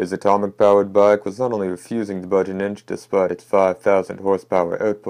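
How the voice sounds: The clip features a natural reading voice.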